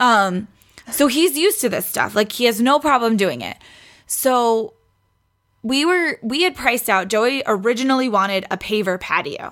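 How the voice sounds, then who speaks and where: Recorded very cleanly against a silent background, a woman with an ordinary speaking voice talks at a moderate pace and fairly high pitch, with lively intonation and an American accent. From New York City (Queens). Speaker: podcast guest, pregnant friend of host. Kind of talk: casual chat.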